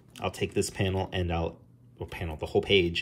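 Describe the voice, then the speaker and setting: Somewhat breathy and very deep in pitch, a man speaks with an American accent at a fairly quick pace. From New Jersey. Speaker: comic book artist. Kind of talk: tutorial. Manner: casual, with frequent fillers. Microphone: phone near.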